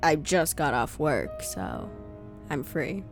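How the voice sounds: A woman puts on a character voice that is low for a woman, with vocal fry and big pitch swings, speaking at a slow pace over clear background music.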